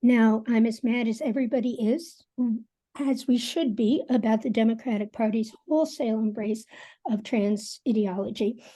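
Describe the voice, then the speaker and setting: Over a quiet background, a woman with an American accent speaks at a moderate pace in a fairly high pitch, her tone dark, mellow and somewhat breathy, with ordinary pitch variation. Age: 60s. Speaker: forum participant. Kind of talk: panel discussion.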